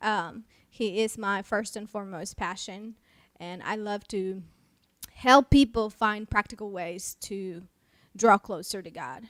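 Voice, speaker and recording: A woman with a slight Mexican accent talks at a fairly slow pace in a fairly high pitch. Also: very clean recording, silent background. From Mexico. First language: Spanish. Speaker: pastor. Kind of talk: casual chat. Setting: live stream.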